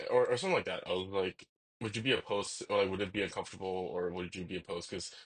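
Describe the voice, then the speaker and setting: A man's bright, sharp voice with ordinary pitch variation. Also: quiet background. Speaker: vlogger. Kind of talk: casual rant, personal storytelling. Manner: halting, many fillers and restarts.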